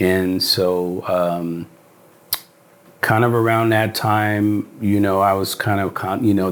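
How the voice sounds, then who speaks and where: Here a man speaks at a fairly slow pace. His pitch is fairly low. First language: Spanish. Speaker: actor. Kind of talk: casual interview chat. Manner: animated.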